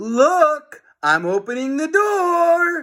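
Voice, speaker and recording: This is a put-on character voice. It sounds squeaky and growling. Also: man. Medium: read story. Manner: snarling.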